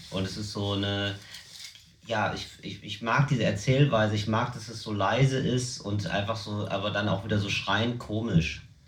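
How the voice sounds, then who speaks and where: Over noticeable background noise and audible room echo, a man talks at a moderate pace in a fairly low pitch with fairly even intonation. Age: 30s. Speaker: comedian. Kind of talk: casual chat.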